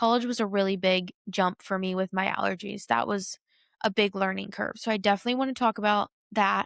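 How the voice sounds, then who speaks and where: A woman speaks in an ordinary speaking voice, fairly high in pitch, with fairly even intonation. The very clean recording has a silent background and a dry, close sound with no echo. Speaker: podcast host. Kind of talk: solo podcast monologue.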